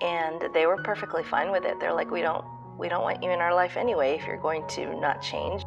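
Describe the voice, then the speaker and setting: Clear music plays in the background as a woman speaks with an American accent. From Pakistan-born, long-time resident of the United States. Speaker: parent of a transgender teenager, speaking as an ally testimonial. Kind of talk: personal testimonial to camera. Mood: earnest, emotional storytelling. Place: home room. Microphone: webcam.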